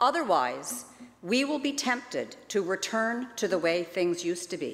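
A woman's fairly high voice with very wide pitch swings at a moderate pace. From British Columbia, Canada. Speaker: legislator giving a member's statement. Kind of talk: rally speech, a rousing, rhetorical call to imagine a better society. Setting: legislative chamber. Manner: earnest, inspirational, measured and persuasive. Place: hall. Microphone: podium.

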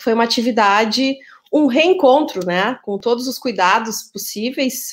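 A woman speaks at a moderate pace, her pitch varying in an ordinary way, with a quiet background. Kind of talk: formal welcome speech. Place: home room.

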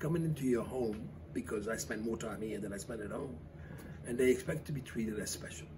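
Noticeable noise fills the background as a man talks fairly quickly. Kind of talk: interview answer. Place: cafe.

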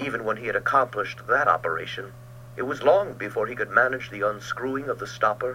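Heard here is a natural reading voice.

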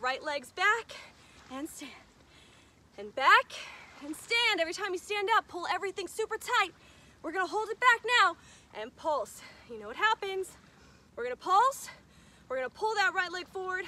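In a dry sound with no echo, a woman uses a raised, projected voice at a moderate pace, leaving long, frequent pauses. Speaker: fitness instructor. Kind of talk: workout instruction. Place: beach.

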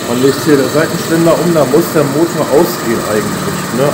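Loud background noise runs through the clip. The pitch varies in an ordinary way. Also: man. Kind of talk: casual vlog chat. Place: garage. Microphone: phone near.

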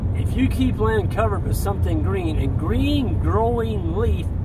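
A man speaks at a very slow pace. Loud background noise fills the dry recording, which has no echo. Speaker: rancher and YouTuber. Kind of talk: angry rant while driving, vlog-style monologue, then an upbeat sign-off. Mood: frustrated, passionate. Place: car. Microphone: phone near.

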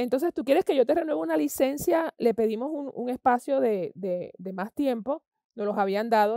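A woman with a dark, mellow tone speaks at a fairly quick pace against a quiet background, in a dry sound with no echo. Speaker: interviewee. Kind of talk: interview answer. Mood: frustrated about government. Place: stage.

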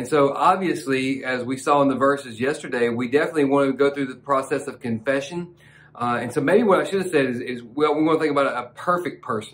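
A voice with an American accent goes at a very fast pace with hardly any pauses. Its pitch variation is ordinary. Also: man, fairly high pitch for a man. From US South. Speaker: pastor. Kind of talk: devotional sermon. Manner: fervent, passionate preaching; warm, conversational. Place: studio.

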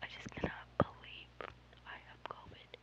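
The speech is whispered. Noticeable background noise can be heard. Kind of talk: ASMR whispering.

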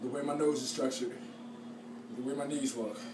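A man races along at a very fast pace, his pitch varying in an ordinary way, with background noise clearly noticeable. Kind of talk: casual vlog chat, boastful joking. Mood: playful boasting. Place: home room. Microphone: phone near.

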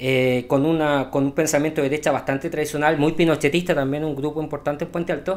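A man with a Chilean accent and a fairly high pitch, very fast pace, hardly any pauses, and monotone, flat intonation. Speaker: podcast co-host. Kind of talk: casual political chat.

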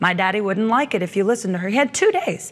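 A woman's fairly high voice at a very fast pace, full of lively intonation. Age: young. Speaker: preacher and author; preacher. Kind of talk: interview about faith. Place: studio. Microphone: lapel.

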